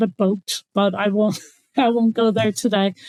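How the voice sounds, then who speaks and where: At a moderate pace, a woman with an Irish accent speaks in a fairly high pitch with monotone, flat intonation and a dry, close sound with no echo. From Ireland. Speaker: water conservation official. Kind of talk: interview.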